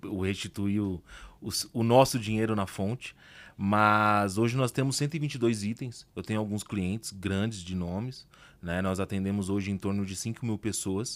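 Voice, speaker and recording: A man speaks in a normal speaking voice with a fairly low pitch. The recording is very clean, with a silent background. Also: fairly even intonation, moderate pace. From Brazil, working-class outskirts. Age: 30s. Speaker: entrepreneur. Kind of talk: podcast interview.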